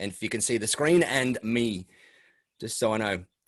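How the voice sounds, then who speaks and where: With an Australian accent, a man talks at a fairly quick pace with lively intonation and medium pitch against a quiet background. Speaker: MSP business coach. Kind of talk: webinar presentation. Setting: video call. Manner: fast.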